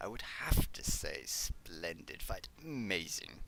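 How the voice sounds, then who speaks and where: A man performs a put-on character voice at a fairly slow pace. Clear background noise can be heard. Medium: read story. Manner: nonchalant, gleefully detached.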